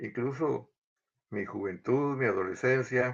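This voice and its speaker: A man speaks at a very slow pace. His pitch is medium. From Guatemala City. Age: 80s+. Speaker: interviewee telling family history. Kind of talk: interview, life story.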